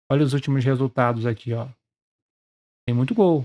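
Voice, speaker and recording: The man's tone is dark and mellow, at a medium pitch with fairly even intonation. The sound is dry and close, with no echo. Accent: Brazilian. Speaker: sports betting trader and youtuber. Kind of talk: casual screen-share tutorial.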